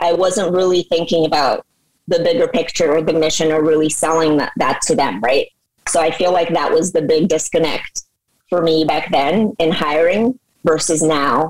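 With a Midwestern accent, a woman speaks at a moderate pace in a fairly low pitch, with ordinary pitch variation and very even loudness. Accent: general American, Midwest-tinged. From Moscow, Russia. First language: Russian. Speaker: tech company founder. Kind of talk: interview.

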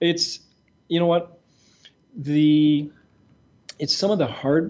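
He talks at a fairly slow pace. The man has a French accent. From Quebec, Montreal. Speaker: retired executive turned entrepreneur. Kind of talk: interview.

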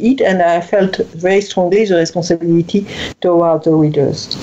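A woman speaks with a French accent over noticeable background noise. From France. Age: 60s. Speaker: writer and speaker, former corporate executive. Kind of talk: interview. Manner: halting, with repetitions.

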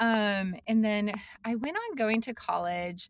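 An ordinary speaking voice from a woman with an American accent, at a moderate pace with ordinary pitch variation. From Montana, US (Billings). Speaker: startup founder and CEO. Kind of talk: interview conversation.

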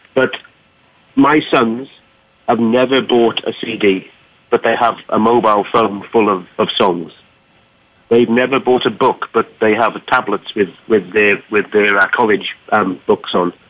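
Speaking in a Welsh accent, a man talks at a fairly slow pace with a medium pitch and very even loudness. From Wales. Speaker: business technology executive. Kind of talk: panel discussion. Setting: phone call.

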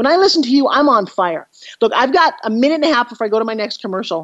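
An energetic woman at a very fast pace, high-pitched, with lively intonation. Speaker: TV host and motivational speaker. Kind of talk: interview.

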